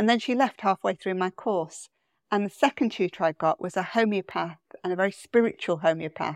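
Over a quiet background, a woman with a British accent speaks at a fairly quick pace, the sound dry and close with no echo. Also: medium pitch for a woman, ordinary pitch variation. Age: 50s. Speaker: therapist and leadership coach. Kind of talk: casual chat.

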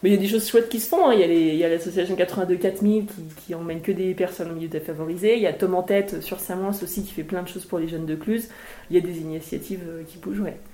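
A woman at medium pitch, very fast pace, fairly even intonation, big swings in loudness, and noticeable background noise. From Haute-Savoie, France. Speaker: mountaineer and mountain guide, author. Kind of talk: casual interview at a book talk. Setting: live event with audience.

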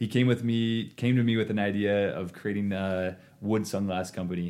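Speaking with an American accent, the man keeps his intonation fairly even. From eastern Oregon, US. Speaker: entrepreneur, eyewear company CEO. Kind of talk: casual interview. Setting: studio, sharing one mic with host.

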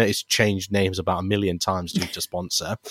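A man speaks with an East Midlands accent. The recording is very clean with a silent background, and the sound is dry and close with no echo. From Leicester, England. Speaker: youth charity worker and basketball presenter. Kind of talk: interview conversation.

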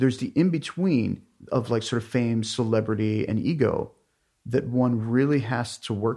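Against a quiet background, a man with an American accent and a normal speaking voice talks at medium pitch and a moderate pace, with ordinary pitch variation. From US, Pittsburgh area, Pennsylvania. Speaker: artist and writer. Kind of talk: interview.

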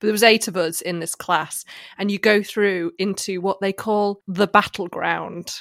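With an English accent, a woman speaks at a medium pitch and moderate pace in a monotone, flat intonation, on a very clean recording with a silent background. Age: 30s. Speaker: podcast co-host. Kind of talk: casual chat.

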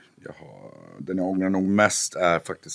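Very slowly, a man speaks with a very deep, low pitch. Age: 30s. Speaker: musician. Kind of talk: casual chat.

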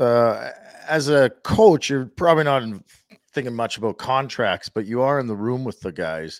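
A man's ordinary speaking voice at a medium pitch and moderate pace, with lively intonation and a dry, close sound free of echo. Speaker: sports radio co-host. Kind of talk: casual sports talk. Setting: studio.

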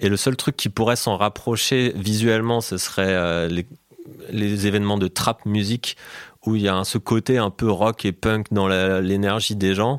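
A man with a plain, everyday voice speaks fairly slowly at a fairly low pitch, his intonation fairly even. The loudness is very even, and the sound is dry and close with no echo. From France, Alsace (Colmar). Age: 30s. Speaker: DJ and producer. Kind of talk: interview conversation.

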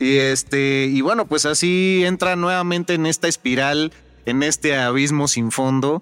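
In a normal speaking voice, a man talks at a fairly slow pace with a fairly high pitch and ordinary pitch variation. His loudness is very even, and the sound is dry and close with no echo. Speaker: podcast co-host. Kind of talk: casual chat.

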